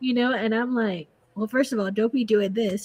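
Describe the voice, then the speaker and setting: A soft-spoken woman talks at a fairly quick pace in a fairly high pitch. Her tone is animated. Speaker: podcast guest. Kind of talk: casual chat.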